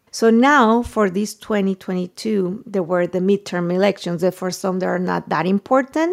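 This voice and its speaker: A woman with a Spanish accent speaks at a moderate pace, her medium pitch showing ordinary variation. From Mexico. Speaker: journalist and news startup founder. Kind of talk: interview conversation.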